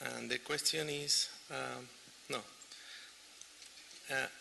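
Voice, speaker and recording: Noticeable background noise surrounds a speaker with a Chilean accent. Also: man. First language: Spanish. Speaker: audience member asking question. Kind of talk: audience question. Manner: halting.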